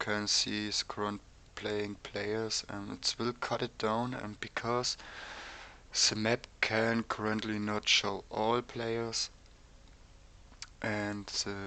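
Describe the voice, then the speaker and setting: With a German accent, a man speaks at a very slow pace in a fairly low pitch, his tone bright and sharp and his intonation monotone and flat. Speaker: game server developer. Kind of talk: tutorial. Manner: halting, many ums.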